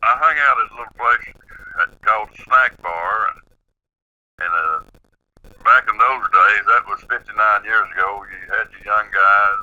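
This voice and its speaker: A man speaks with an Appalachian accent at a moderate pace. His loudness swings widely, and he leaves long, frequent pauses. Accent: Southern US, Appalachian. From East Tennessee, near Knoxville. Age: 70s. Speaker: eyewitness storyteller. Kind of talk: interview, personal account. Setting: phone call on speakerphone. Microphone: speakerphone, disturbance on the line.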